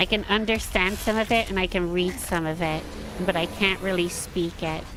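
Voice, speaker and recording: With music in the background, a woman speaks in an American accent at a medium pitch with fairly even intonation. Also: moderate pace. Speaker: gaming streamer. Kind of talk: casual chat. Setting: livestream.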